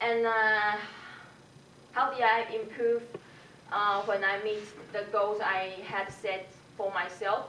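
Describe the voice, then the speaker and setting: Here a woman speaks at a medium pitch and a very slow pace. Audible room echo surrounds her voice. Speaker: English language student. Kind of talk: self-assessment presentation. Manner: halting, many fillers.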